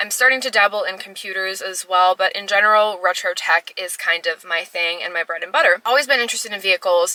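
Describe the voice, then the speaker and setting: A woman talks at a very fast pace with a medium pitch and ordinary pitch variation. The sound is dry and close with no echo, though background noise is noticeable. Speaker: retro tech YouTuber. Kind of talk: casual vlog talk to camera. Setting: in a car in a parking garage. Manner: loud.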